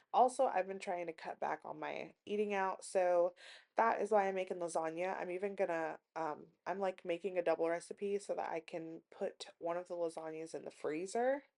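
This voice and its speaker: A plain, everyday voice from a woman at a medium pitch, moderate pace with hardly any pauses, ordinary pitch variation and a quiet background. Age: 20s. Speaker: lifestyle vlogger. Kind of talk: casual vlog talk. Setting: home kitchen. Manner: casual, with fillers.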